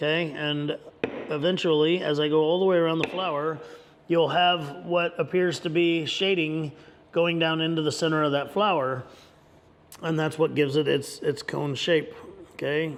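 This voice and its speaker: This man talks at a moderate pace in a monotone with flat intonation. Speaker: leathercraft instructor. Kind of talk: tutorial. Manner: halting, repeated words; casual.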